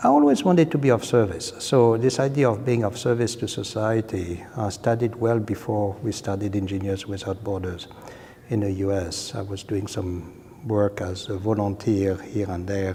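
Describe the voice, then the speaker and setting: A man speaks at a moderate pace with a fairly low pitch. His pitch varies in an ordinary way over noticeable background noise. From France. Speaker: civil engineering professor. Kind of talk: interview.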